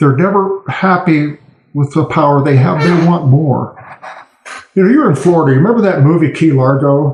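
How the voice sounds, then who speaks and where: This man's voice sits fairly high in pitch, somewhat breathy, with ordinary rise and fall. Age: 60s. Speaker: political cartoonist. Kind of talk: podcast interview.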